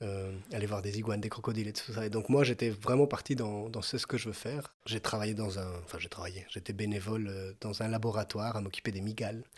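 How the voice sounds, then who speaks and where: Speaking at a very fast pace with hardly any pauses, a man with a fairly low pitch keeps his intonation fairly even. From Mexico. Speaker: former actor turned farmer. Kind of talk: podcast interview. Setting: family farm. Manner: hesitant, many fillers.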